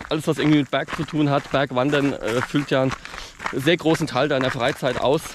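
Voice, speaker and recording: Against noticeable background noise, a man with a fairly high pitch talks at a fairly quick pace. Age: 30s. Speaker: mountaineering YouTuber. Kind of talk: interview during a mountain hike. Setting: outdoors on a mountain.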